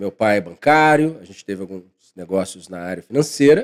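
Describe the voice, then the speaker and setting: Here is a plain, everyday voice from a man at medium pitch. He talks at a moderate pace with lively intonation. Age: 40s. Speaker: financial consultant and professor. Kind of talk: podcast interview.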